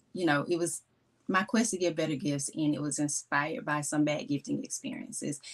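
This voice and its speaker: A woman with a Mississippi accent speaks at a very deep, low pitch. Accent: Mississippi Southern. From US South, Mississippi. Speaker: gift strategist, small business owner. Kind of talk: live stream talk. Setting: live stream on Instagram and YouTube. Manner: slow.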